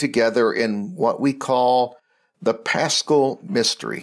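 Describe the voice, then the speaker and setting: At a fairly slow pace, a man talks in a medium pitch over a quiet background. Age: 60s. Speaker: Episcopal bishop. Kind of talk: reflective talk or homily.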